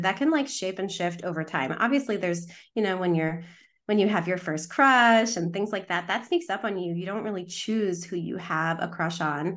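This woman has an unremarkable speaking voice at a medium pitch, with ordinary pitch variation and a moderate pace. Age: 30s. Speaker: sexologist and matchmaker. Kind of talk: casual interview chat.

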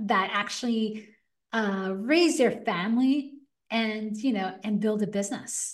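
A woman speaks fairly slowly at a fairly high pitch, somewhat breathy, with ordinary pitch variation. Audible room echo surrounds her voice. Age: 40s. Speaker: entrepreneur. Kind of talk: casual chat.

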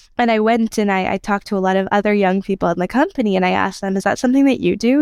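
With an American accent, a woman talks very fast at a medium pitch with ordinary pitch variation, in a very clean, silent-background recording with a dry, close sound and no echo. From United States. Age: 20s. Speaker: HR partner. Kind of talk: interview. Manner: casual, conversational with fillers.

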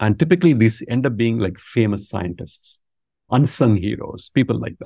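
A man with a Tamil accent speaks in a dark, mellow tone, somewhat breathy, with lively intonation and big swings in loudness. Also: medium pitch for a man, moderate pace. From India, Tamil Nadu. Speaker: business school professor. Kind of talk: interview conversation.

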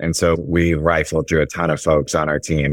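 A man with an American accent speaks at a moderate pace in a very deep, low voice with monotone, flat intonation. The sound is dry and close with no echo, on a very clean recording with a silent background. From Chicago, US Midwest. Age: 30s. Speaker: insurance agency co-founder. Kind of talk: interview conversation.

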